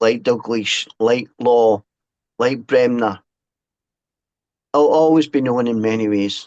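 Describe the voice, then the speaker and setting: With a Scottish accent, a man talks at a very slow pace and medium pitch, his fairly even intonation punctuated by long, frequent pauses. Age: 60s. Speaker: author and former fanzine writer. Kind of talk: podcast interview. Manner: halting, with repeated false starts.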